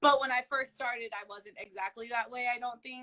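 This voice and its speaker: A loud, bright, sharp woman's voice, fairly high in pitch, with ordinary variation and a moderate pace. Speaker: professional wrestler. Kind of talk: casual interview. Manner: loud and talkative.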